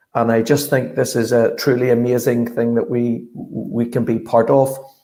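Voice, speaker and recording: With a Northern Irish accent, a man speaks in a dark, mellow tone over audible room echo. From Northern Ireland, Belfast. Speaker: sports strategy consultant. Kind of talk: conference presentation. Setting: virtual summit.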